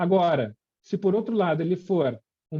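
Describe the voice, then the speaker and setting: A man speaks with a high-pitched voice. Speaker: intensive care physician lecturer. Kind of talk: lecture. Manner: many filler hesitations.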